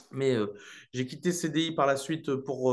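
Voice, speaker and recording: Medium-pitched male voice at a moderate pace, quiet background. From northern France, Lille. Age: 20s. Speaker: real estate investor. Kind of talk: interview. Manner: casual, many hesitations.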